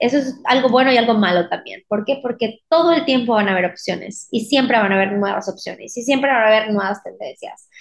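A woman's high-pitched voice with lively intonation, a moderate pace and a quiet background. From Mexico, Mérida, Yucatán. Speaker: wedding dress designer. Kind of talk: casual interview.

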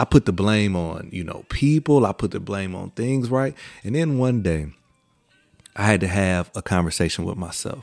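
A man talks at a fairly low pitch. His pace is moderate. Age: 40s. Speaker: podcast host giving a motivational talk. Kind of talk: solo motivational monologue with preacherly repetition, building to testimony. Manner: filler-heavy and halting, lots of uh, um and you know; conversational with rhythmic repetition, escalating like a preacher at 7:17.

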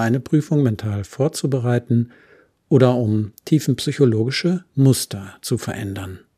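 A man's medium-pitched voice, dark and mellow in tone, calm and soothing yet with lively intonation, on a very clean recording with a silent background. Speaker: podcast host and therapist. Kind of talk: guided meditation. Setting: solo home studio recording. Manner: calm, slow and soothing.

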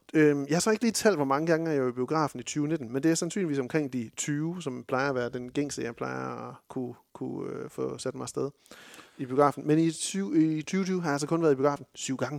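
A man with a plain, everyday voice speaks at a fairly quick pace and a fairly high pitch for a man, with ordinary pitch variation, on a very clean recording with a silent background. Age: 30s. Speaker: film podcast host. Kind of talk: casual chat.

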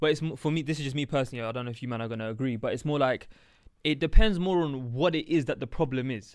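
A man with a London accent at a very fast pace, fairly high in pitch, with ordinary pitch variation and a quiet background. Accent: London multicultural English. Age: 20s. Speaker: podcast co-host. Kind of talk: casual chat.

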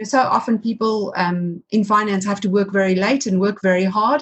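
Her voice pitched fairly high, a woman with an unremarkable speaking voice talks at a moderate pace. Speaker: podcast host. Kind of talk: interview conversation.

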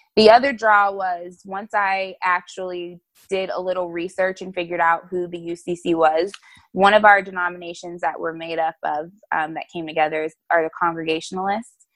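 Against a quiet background, a woman with an American accent and an ordinary speaking voice talks at a moderate pace and fairly low pitch, her intonation fairly even but with big swings in loudness. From New Jersey and North Carolina (East Orange, then Charlotte from age 11). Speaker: pastor. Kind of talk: casual interview. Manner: casual, filler-heavy (um, like).

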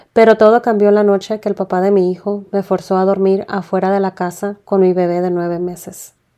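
A woman talks at a moderate pace in a dark, mellow tone with monotone, flat intonation. The background is quiet. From Tijuana, Mexico. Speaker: podcast host. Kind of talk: personal storytelling.

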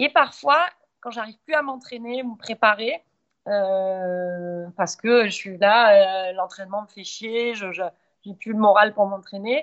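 The woman's pitch is fairly high. She speaks at a very slow pace. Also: ordinary pitch variation, big swings in loudness. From southern France, Montpellier. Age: 40s. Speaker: endurance athlete. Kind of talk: podcast interview.

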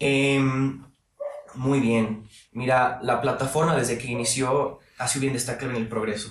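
With audible room echo, a man talks at a moderate pace in a medium pitch with fairly even intonation. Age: 20s. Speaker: university student and political commentator. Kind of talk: casual interview.

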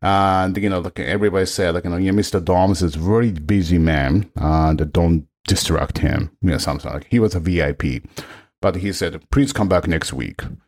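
Speaking in a Japanese accent, a man with a very deep, low voice talks at a moderate pace in an animated tone with ordinary pitch variation. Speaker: orchestral trombonist. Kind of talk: casual interview. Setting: video call. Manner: halting, many fillers; animated, laughs often.

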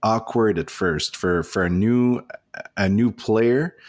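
A man with a French accent is heard on a very clean recording with a silent background. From Nova Scotia, Canada (francophone). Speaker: board game podcaster. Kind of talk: casual chat. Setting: hotel room. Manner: halting.

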